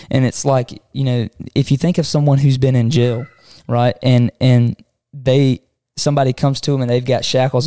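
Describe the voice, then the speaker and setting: A man with a Southern US accent speaks at a moderate pace in a dark, mellow tone with monotone, flat intonation. The sound is dry and close, with no echo. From Southwest Georgia. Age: 20s. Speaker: podcast co-host and church youth leader. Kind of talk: casual chat.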